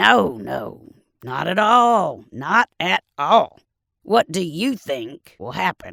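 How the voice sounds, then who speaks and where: A raspy, put-on character voice at a middle pitch speaks at a very slow pace. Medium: read story. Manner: folksy, teasing.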